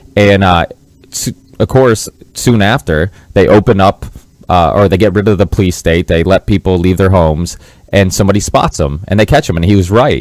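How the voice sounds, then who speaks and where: A man with an American accent talks in an unremarkable speaking voice, with a fairly low pitch and ordinary pitch variation. His loudness stays very even in a dry, close sound with no echo. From Massachusetts, US. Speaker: podcast host. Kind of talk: interview podcast.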